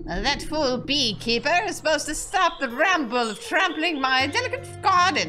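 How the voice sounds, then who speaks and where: A put-on character voice with a high pitch moves at a moderate pace while clear music plays in the background. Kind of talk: pompous. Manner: scornful, haughty.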